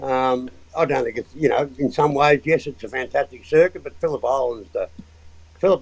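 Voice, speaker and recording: With an Australian accent, a man talks at a fairly quick pace. His pitch varies in an ordinary way. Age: 70s. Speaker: motorsport engineer and mechanic. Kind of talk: casual interview chat.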